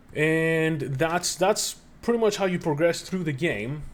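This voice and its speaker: A man with a non-native accent talks at a fairly slow pace. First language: not English. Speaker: video game reviewer. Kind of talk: gameplay review commentary. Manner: casual, with filler words and self-corrections.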